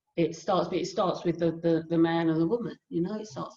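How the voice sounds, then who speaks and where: A dark, mellow tone comes through in a southern English accent. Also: woman. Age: 60s. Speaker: hypnotherapist and life coach. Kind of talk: casual interview.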